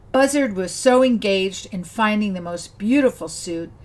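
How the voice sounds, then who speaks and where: An unremarkable speaking voice at a moderate pace with lively intonation. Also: woman. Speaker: storyteller. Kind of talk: fairy-tale narration of a folk story. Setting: video channel, solo recording. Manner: warm, gentle storyteller's pacing.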